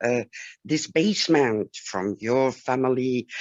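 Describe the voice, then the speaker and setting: Someone speaks with a German accent at a fairly slow pace. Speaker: webinar participant. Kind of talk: testimony. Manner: halting.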